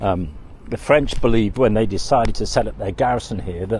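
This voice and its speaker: A man at a moderate pace, fairly low in pitch with vocal fry and ordinary pitch variation. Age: 60s. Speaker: travel vlogger. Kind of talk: travel vlog narration. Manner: casual, hesitant with fillers.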